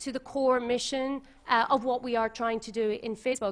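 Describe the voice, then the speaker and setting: A woman speaks with an Irish accent. Her pitch is high. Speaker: tech company policy manager, former journalist. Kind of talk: panel talk. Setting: conference with audience. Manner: formal.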